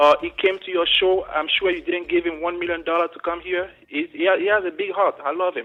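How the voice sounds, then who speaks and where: With an African accent, a man speaks at a fairly quick pace with hardly any pauses. His voice is high-pitched, and his intonation stays fairly even. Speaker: caller. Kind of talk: call-in comment. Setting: phone call.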